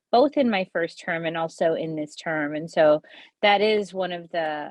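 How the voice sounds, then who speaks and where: With a non-native accent, a woman talks fairly slowly at a fairly low pitch, her intonation lively. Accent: noticeable accent, immigrant. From US childhood, then India from age 15. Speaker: state legislator. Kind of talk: award acceptance speech. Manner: hesitant, many fillers.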